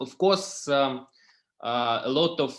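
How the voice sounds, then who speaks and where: A man with a non-native accent and a medium-pitched voice. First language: not English. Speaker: startup founder. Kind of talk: startup pitch. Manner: halting.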